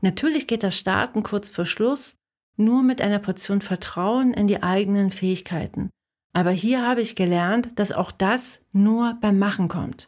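Over a silent background in a very clean recording, a woman with an ordinary speaking voice talks fairly slowly at medium pitch, with ordinary pitch variation. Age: 40s. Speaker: podcast host and designer/illustrator coaching creatives. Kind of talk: solo podcast monologue.

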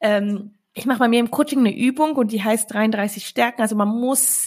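A woman with a fairly high pitch and ordinary pitch variation speaks in a plain, everyday voice. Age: 30s. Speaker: entrepreneur and investing coach. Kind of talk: interview.

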